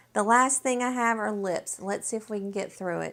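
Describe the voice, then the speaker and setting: On a very clean recording with a silent background, a woman speaks in a Southern US accent. Her pitch is medium, with ordinary pitch variation. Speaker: beauty vlogger. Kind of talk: product review vlog. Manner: animated.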